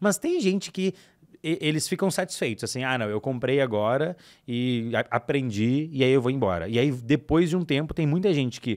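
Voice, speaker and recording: A man speaks fairly quickly over a quiet background. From Brazil. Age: 20s. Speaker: digital marketing expert; podcast guest. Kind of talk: casual chat. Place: studio. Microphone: studio mic.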